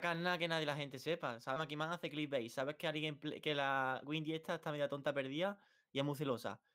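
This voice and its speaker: A man's fairly high voice with a bright, sharp tone, fairly even intonation and a fairly quick pace against a quiet background. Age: 20s. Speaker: youtuber; streamer in debate. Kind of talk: heated debate; heated debate talk. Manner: halting. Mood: argumentative, defensive. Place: home room.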